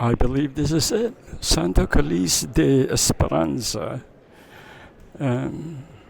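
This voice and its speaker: A soft-spoken man talks at a very slow pace. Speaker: travel vlogger. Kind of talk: travel vlog narration. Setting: inside a cathedral during mass. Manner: hesitant, many fillers.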